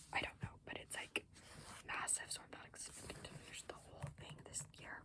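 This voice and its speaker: Over clearly audible background noise, a woman's whisper moves at a fairly brisk clip. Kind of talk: ASMR whispered ramble to camera about books. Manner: whispered; casual, rambling, with filler words.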